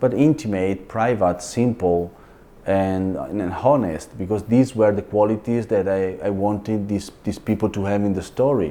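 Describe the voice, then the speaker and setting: A man's dark, mellow, fairly low voice at a moderate pace, with ordinary pitch variation. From Italy, Venice area. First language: Italian (Venetian dialect). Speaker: film and opera director. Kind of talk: interview. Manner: halting, with many repetitions and fillers.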